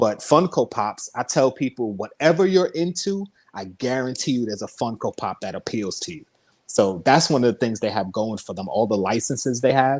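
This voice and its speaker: A man with a plain, everyday voice at medium pitch, moderate pace and lively intonation, with big swings in loudness, in a very clean, dry, close recording with no echo and a silent background. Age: 40s. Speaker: YouTuber and toy collector. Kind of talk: casual chat.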